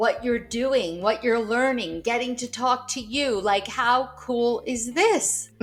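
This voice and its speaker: Music plays behind a woman. Her voice sits fairly high in pitch. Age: 60s. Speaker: author. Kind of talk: casual chat.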